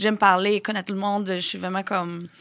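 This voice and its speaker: A woman speaks in a Portuguese accent with monotone, flat intonation. The recording is very clean, with a silent background. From Brazil. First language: Portuguese (speaking French). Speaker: influencer and reality TV personality. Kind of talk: casual interview.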